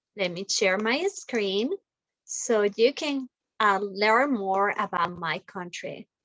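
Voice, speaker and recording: Very slow speech in a Spanish accent with ordinary pitch variation, dry and close with no echo. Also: woman. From Colombia. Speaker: school teacher. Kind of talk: reading aloud; classroom talk to children.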